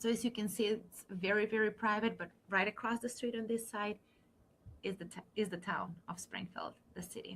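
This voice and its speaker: Speaking with a non-native accent, a woman uses a medium pitch and a moderate pace. Her intonation is fairly even. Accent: foreign. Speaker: university admissions counselor. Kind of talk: online info session presentation.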